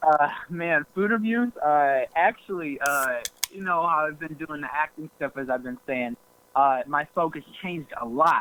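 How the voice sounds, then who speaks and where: An unremarkable speaking voice: a man with an American accent, fairly high-pitched, at a fairly slow pace with ordinary pitch variation, in a dry, close sound with no echo. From US Midwest, Cleveland. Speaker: YouTuber, actor and rapper. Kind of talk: casual chat.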